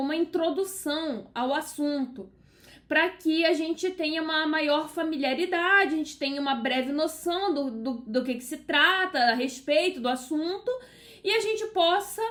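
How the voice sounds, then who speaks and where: The intonation is lively. The pace is fairly slow. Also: woman. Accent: Carioca. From Brazil, Rio de Janeiro. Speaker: law teacher. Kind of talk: lecture. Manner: casual, conversational with fillers.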